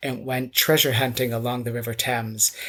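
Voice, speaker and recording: With an American accent, a man speaks at medium pitch in a monotone, flat way. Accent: American, noticeable in Britain. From US South, North Carolina. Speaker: architect and mudlarking author. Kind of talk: interview.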